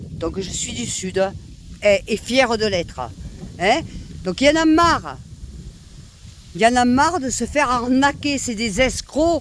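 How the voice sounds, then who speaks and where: A high-pitched woman with a southern French accent, animated tone and lively intonation, at a fairly slow pace with long, frequent pauses and big swings in loudness, over noticeable background noise. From southern France, Nîmes. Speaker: vlogger. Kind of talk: rant to camera. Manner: animated, loud.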